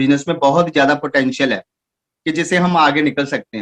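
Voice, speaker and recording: A man with a Punjabi accent at a moderate pace, ordinary pitch variation, dry and close with no echo. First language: Punjabi (speaking Hindi). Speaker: network marketing distributor. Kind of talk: achievement speech. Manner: halting.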